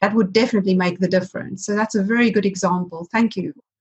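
This woman speaks at a very fast pace in a medium pitch. Her voice is somewhat breathy, with fairly even intonation. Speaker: podcast host. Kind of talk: interview conversation.

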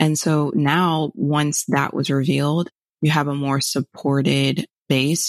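Her pitch is very deep and low, and this woman speaks with an American accent, vocal fry and fairly even intonation in a dry, close sound with no echo. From South Florida, Fort Lauderdale. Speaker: HR professional and motivational speaker. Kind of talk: interview.

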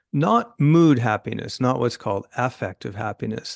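An American accent in an ordinary speaking voice from a man at medium pitch, with ordinary pitch variation and a moderate pace, in a quiet background with dry, close sound and no echo. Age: 60s. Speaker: journalist and author. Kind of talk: interview.

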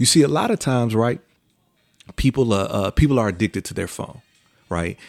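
The man talks at a fairly quick pace. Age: 40s. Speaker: podcast host giving a motivational talk. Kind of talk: solo motivational monologue with preacherly repetition, building to testimony. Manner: filler-heavy and halting, lots of uh, um and you know; conversational with rhythmic repetition, escalating like a preacher at 7:17.

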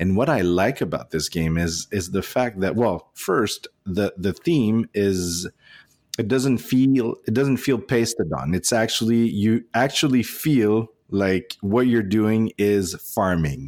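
Fairly slow speech with a French accent at very even loudness, on a very clean recording with a silent background. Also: man. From Nova Scotia, Canada (francophone). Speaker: board game podcaster. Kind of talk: casual chat. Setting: hotel room. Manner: halting.

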